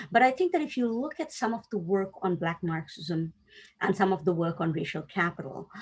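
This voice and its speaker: The speaker talks with a Tamil accent. The pace is fairly quick. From South Asia (Tamil-speaking). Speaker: academic panelist. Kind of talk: academic roundtable discussion. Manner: thoughtful, with hesitations.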